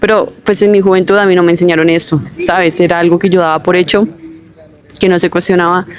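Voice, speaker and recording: Over noticeable background noise, a woman talks in a fairly low pitch with monotone, flat intonation. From Colombia, Bogotá. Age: 20s. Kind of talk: testimony. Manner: casual with fillers (eh, em).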